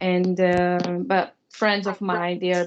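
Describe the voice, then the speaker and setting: A woman with a Brazilian accent speaks at a medium pitch. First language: Portuguese. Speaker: student. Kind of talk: class introduction. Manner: halting.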